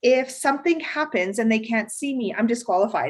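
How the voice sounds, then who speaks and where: A woman talks at a fairly quick pace in a plain, everyday voice. Her pitch variation is ordinary. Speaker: newly certified project manager. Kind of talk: webinar Q&A interview.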